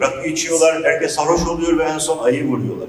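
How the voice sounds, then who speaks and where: This is a man speaking. Audible room echo surrounds his voice. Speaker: speaker. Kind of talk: public talk. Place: hall.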